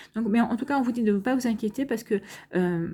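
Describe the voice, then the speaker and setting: In a very clean recording with a silent background, a woman speaks in a somewhat breathy, medium-pitched voice with ordinary pitch variation. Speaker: astrology tarot reader. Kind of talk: astrology reading. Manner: fast; halting, many fillers.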